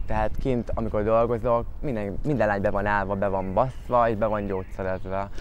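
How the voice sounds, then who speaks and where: In an ordinary speaking voice, a man with a fairly low pitch talks at a fairly quick pace with hardly any pauses and fairly even intonation, the sound dry with no echo and light background noise. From Hungary. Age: 20s. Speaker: sex worker; interviewee. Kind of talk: interview testimony. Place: garden.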